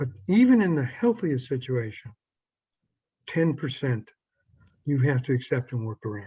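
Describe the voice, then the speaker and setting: A man talks at a moderate pace. His voice is somewhat breathy. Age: 70s. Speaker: psychologist and sex therapist. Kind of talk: interview. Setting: video call.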